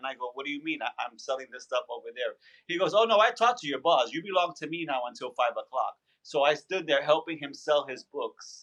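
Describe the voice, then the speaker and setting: A man with a New York accent talks at a fairly quick pace in an animated, bright, sharp tone. His pitch runs high. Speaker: background actor and stand-up comedian. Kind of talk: interview storytelling.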